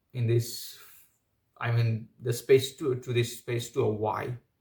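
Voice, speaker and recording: A man with a non-native accent talks very slowly in a medium pitch, his voice somewhat breathy. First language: not English. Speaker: commentary video creator. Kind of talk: opinion monologue. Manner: halting, many fillers.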